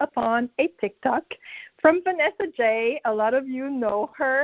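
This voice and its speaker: A high-pitched woman with a French accent, at a fairly slow pace, with lively intonation. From Quebec, Canada. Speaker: direct sales team member. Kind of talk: personal testimony.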